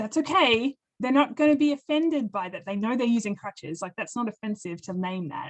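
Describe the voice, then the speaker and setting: A woman talks at a fairly quick pace in an animated tone. Her pitch swings very widely. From Australia. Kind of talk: webinar presentation.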